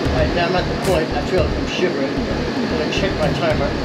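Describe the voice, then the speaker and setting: A man's voice with music in the background. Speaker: vlogger. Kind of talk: casual vlog chat. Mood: shivering, excited.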